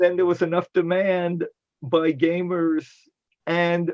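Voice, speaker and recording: A man with an upstate New York accent, high-pitched, at a fairly slow pace. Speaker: science fiction convention organizer. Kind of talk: panel discussion.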